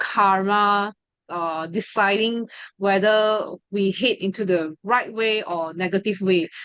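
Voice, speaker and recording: With a Mandarin accent, a woman talks at a very slow pace and medium pitch with ordinary pitch variation, in a dry, close sound with no echo. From Malaysia, ethnic Chinese. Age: 20s. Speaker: study group member sharing experience, law student. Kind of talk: testimony. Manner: hesitant, many fillers.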